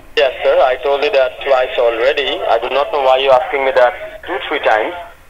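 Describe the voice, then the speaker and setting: Fairly quick speech against noticeable background noise. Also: man. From Sri Lanka. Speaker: scam caller posing as tech support. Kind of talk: scripted sales pitch on phone call.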